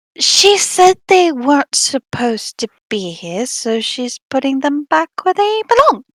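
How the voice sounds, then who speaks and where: A put-on character voice pitched high, with very wide swings in pitch. The pace is fairly slow. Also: hardly any pauses. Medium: actual play.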